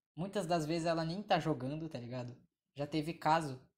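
Moderate-paced speech with a Brazilian accent. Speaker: podcast host. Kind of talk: casual chat.

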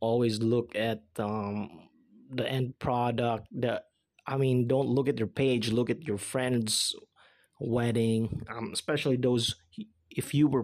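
With a Filipino accent, a man speaks at a medium pitch and a fairly slow pace. His intonation is fairly even, broken by long, frequent pauses. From Philippines. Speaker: podcaster. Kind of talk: casual monologue. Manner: lots of filler words.

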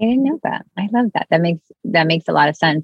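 This woman speaks in an American accent at a fairly low pitch. Her voice is somewhat breathy, and her intonation is lively. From Miami, Cuban American family. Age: 30s. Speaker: spiritual mentor and author. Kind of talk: casual interview chat.

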